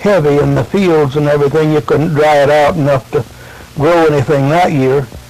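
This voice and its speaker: Over noticeable background noise, a man with a rural American accent talks at a fairly slow pace. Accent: rural American, colloquial grammar. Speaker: grandfather recounting family history. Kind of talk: oral family-history storytelling into a tape recorder. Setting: home tape recording, vintage audio. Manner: casual, rambling, folksy.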